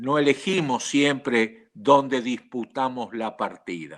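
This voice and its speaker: At a very slow pace, a man speaks in a fairly high pitch on a very clean recording with a silent background. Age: 80s+. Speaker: panelist. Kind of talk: reflective panel talk.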